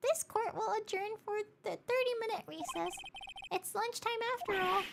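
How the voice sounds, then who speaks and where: An extremely high, put-on character voice carries the speech. It moves at a moderate pace. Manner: formal, authoritative.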